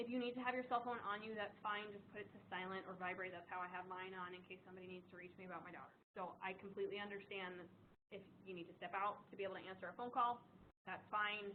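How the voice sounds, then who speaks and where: In an American accent, a woman talks at a very fast pace and medium pitch, with big swings in loudness and audible room echo. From US East Coast. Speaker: nursing instructor. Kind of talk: lecture. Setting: classroom. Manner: fast when excited.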